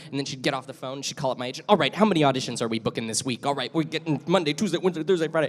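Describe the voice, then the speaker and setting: A man with an American accent and a fairly high pitch speaks very fast, with hardly any pauses and ordinary pitch variation. Noticeable background noise sits behind him. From California. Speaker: voice actor. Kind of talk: convention panel chat.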